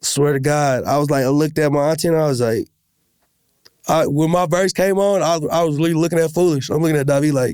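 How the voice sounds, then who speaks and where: Very fast and at very even loudness, a man with an American accent talks at a fairly high pitch with fairly even intonation. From US Midwest, South Minneapolis, Minnesota. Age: 20s. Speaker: rapper. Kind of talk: casual chat.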